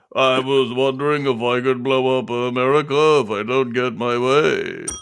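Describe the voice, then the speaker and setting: Using a put-on character voice, a man speaks at medium pitch. His pace is moderate. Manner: menacing, joking.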